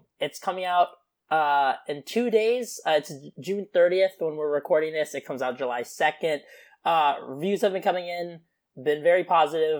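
Moderately paced speech, very clean recording, silent background. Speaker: podcast co-host. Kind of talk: casual chat, podcast.

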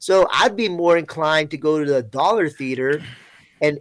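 A man with an American accent and a fairly high pitch talks at a moderate pace with ordinary pitch variation in an unremarkable speaking voice, captured in a very clean recording with a silent background. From Florida. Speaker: chat guest and movie fan. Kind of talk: casual chat. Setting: live video chat.

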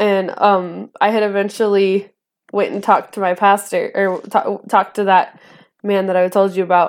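A woman speaks at a moderate pace in a medium pitch with monotone, flat intonation, on a very clean recording with a silent background. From northern Idaho, US. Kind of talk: testimony. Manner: laughs often.

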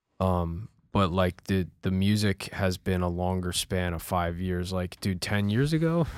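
Speaking at a fairly slow pace with hardly any pauses, a man with a very deep, low pitch keeps a fairly even intonation on a very clean recording with a silent background. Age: 30s. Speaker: musician. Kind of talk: casual chat.

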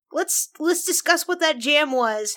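A woman's voice, high in pitch. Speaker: podcast host and game master. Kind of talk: casual chat, tabletop roleplaying podcast.

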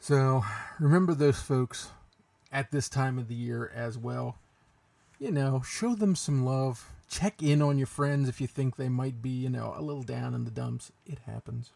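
With an American accent, a man talks at a fairly slow pace in a medium pitch, his tone dark and mellow and his pitch variation ordinary. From Pennsylvania. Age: 40s. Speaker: radio DJ.

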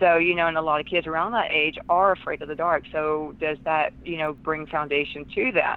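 A woman speaks in a Southern US accent with a very deep, low pitch. Her intonation is fairly even and she hardly pauses. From US South. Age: 40s. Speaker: author and empath. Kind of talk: interview.

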